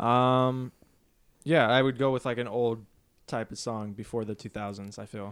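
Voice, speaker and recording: A man uses a normal speaking voice at medium pitch and a moderate pace. His intonation stays fairly even while his loudness swings widely. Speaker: podcast host. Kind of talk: casual chat among friends.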